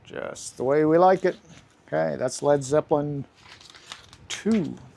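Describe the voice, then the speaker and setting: Over noticeable background noise, a man talks at a fairly slow pace in a relaxed tone. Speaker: record collector youtuber. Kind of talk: casual talk, showing records to camera. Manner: relaxed, with fillers and repeats.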